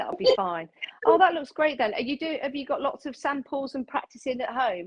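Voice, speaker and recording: A woman's high-pitched voice with an English accent, very wide pitch swings and a fairly quick pace. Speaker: live stream host. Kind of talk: casual chat. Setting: Facebook live stream. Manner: loud.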